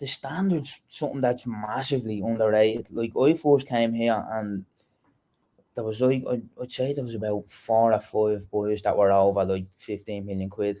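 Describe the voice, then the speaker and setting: A man's voice carries a dark, mellow tone with ordinary pitch variation. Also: medium pitch for a man, moderate pace. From Dublin, Ireland. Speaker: professional footballer. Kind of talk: interview answer. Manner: casual, conversational.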